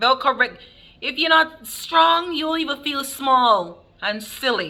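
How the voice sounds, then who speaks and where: A woman's raised, projected voice, very slow, with lively intonation. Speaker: nurse. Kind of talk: casual talk to camera.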